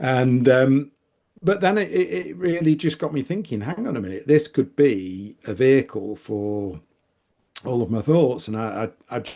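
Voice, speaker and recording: With a northern English accent, a man speaks at a moderate pace and medium pitch, his tone dark and mellow, his loudness swinging widely and his pitch moving in very wide swings. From northern England, Manchester. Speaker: author and business consultant. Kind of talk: podcast interview. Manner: animated, frequent repetitions and fillers.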